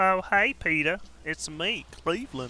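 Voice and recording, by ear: Over clear background noise, a put-on character voice at a middle pitch moves at a moderate pace.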